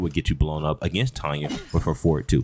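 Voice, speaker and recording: This man's voice is very deep and low in pitch, with ordinary pitch variation. Noticeable background noise can be heard. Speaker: gaming content creator. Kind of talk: tutorial. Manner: fast; halting with fillers.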